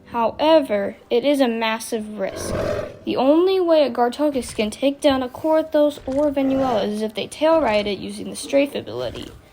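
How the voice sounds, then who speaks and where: High-pitched woman's voice at a moderate pace, ordinary pitch variation, noticeable background noise. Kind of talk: game comparison voice-over.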